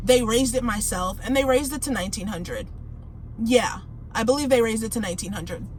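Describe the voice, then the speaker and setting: Noticeable background noise runs through this clip. A woman speaks at a high pitch. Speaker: finance vlogger. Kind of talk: casual tutorial vlog. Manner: casual, conversational.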